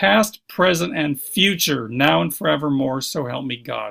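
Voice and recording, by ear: A man uses a put-on character voice, hoarse and raspy, at a medium pitch and a moderate pace. His pitch swings very widely.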